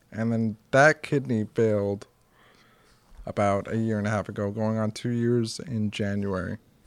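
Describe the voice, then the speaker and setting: In a very clean recording with a silent background, a man with an American accent speaks at a moderate pace with a fairly low pitch and fairly even intonation, an unremarkable speaking voice. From US Northeast (Norwood area). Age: 30s. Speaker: heart transplant survivor and author. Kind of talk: casual chat. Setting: at home.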